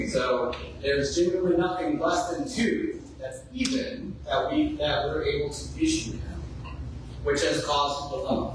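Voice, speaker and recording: With a Texan accent, a man talks amid noticeable background noise and audible room echo. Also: moderate pace. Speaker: GIS specialist, 911 program. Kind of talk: public presentation. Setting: community board meeting. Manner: loud. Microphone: no microphone.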